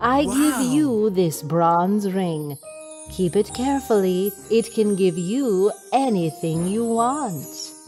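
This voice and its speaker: A female-sounding voice performs a put-on character voice at medium pitch and a very slow pace. Clear music plays in the background. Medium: read story.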